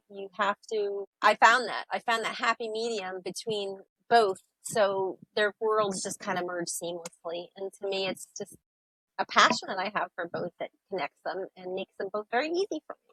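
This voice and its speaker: A woman with an American accent speaks at medium pitch and a moderate pace, with ordinary pitch variation. Hers is a plain, everyday voice, with big swings in loudness. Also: dry, close sound with no echo. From upstate New York. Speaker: sailor and author. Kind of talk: interview.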